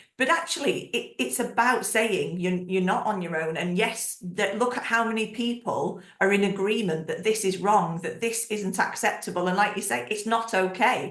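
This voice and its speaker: Over noticeable background noise, a woman with a medium pitch talks at a moderate pace with ordinary pitch variation and hardly any pauses. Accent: Northern English. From northern England. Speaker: podcast host. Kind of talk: casual interview chat. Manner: animated.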